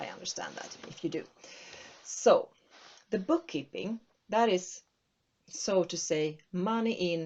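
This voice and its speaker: A somewhat breathy woman's voice with a Swedish accent. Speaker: accounting consultant. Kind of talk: tutorial. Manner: halting.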